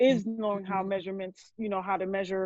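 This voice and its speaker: Speaking at a medium pitch, a woman has a New York accent. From New Jersey, born in Brooklyn; Haitian family. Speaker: burger business owner, cook. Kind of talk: casual podcast interview.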